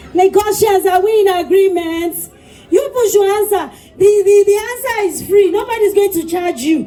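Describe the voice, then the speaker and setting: At a moderate pace and in an animated tone, a woman with extremely high pitch and ordinary pitch variation speaks over noticeable background noise. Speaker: event MC. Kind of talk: live event hosting. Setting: stage with audience.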